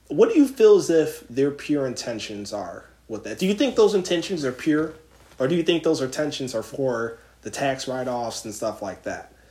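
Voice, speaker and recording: A man with fairly high pitch speaks in an animated tone at a moderate pace, with very wide pitch swings and big swings in loudness. Noticeable background noise is present. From Philadelphia. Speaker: podcast host. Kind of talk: casual chat.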